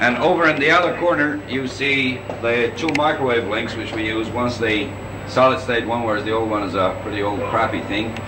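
A man talks at a fairly quick pace with ordinary pitch variation, and noticeable background noise is present. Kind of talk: guided tour commentary. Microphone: old recording.

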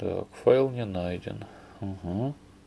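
With a dark, mellow tone and vocal fry, the voice moves at a slow pace with ordinary pitch variation. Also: man, fairly low pitch for a man.

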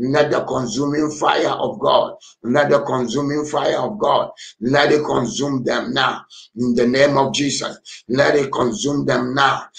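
A man with a fairly high pitch speaks at a fairly slow pace, using ordinary pitch variation. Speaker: pastor. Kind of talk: fervent deliverance prayer leading an online congregation. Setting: online prayer meeting with callers tuning in. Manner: urgent, exhorting, calling congregants to pray aloud. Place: home room. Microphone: webcam.

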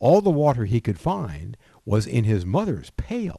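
With a dark, mellow tone and a somewhat breathy quality, a man at medium pitch speaks at a fairly slow pace with very wide pitch swings against a quiet background. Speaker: grandfather reading nursery rhymes. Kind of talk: reading aloud.

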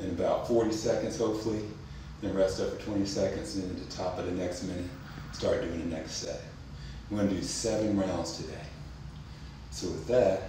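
A man at a fairly quick pace, with noticeable background noise and strong room echo. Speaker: fitness instructor. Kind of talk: tutorial. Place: home room.

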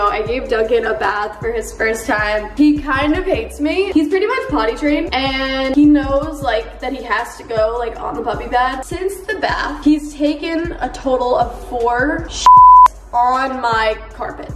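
A woman at a moderate pace with hardly any pauses, over loud music in the background. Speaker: vlogger. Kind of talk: casual vlog chat. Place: home room. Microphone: phone near.

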